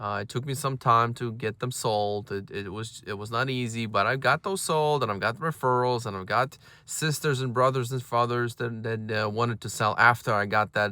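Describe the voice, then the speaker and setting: With a non-native accent and a bright, sharp tone, the speech proceeds at a moderate pace in a very clean recording with a silent background. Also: man, medium pitch for a man, ordinary pitch variation, hardly any pauses. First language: not English. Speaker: real estate agent and brokerage owner. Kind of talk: casual advice talk to camera. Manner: halting, many fillers and repeated words.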